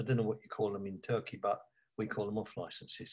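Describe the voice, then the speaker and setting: A somewhat breathy man's voice with an East London accent. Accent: East London (cockney). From East London, England. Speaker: author and advertising creative. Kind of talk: interview.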